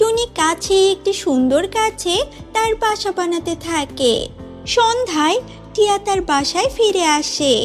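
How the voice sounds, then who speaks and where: With clear music in the background, a cartoonish character voice at an extremely high pitch talks at a fairly slow pace. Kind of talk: children's fairy-tale narration. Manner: clear, steady.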